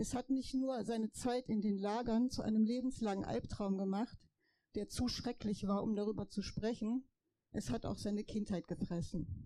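A woman with a dark, mellow tone, a fairly high pitch, fairly even intonation, a moderate pace, and very even loudness. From Poland, raised in Germany. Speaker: daughter of Holocaust survivor, rally speaker. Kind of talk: rally speech.

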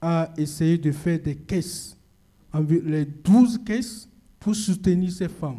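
This man's voice is high in pitch, with a dark, mellow tone. His pitch varies in an ordinary way. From Togo, central region. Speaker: activist network coordinator. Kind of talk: talk at a public discussion event. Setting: event venue with audience.

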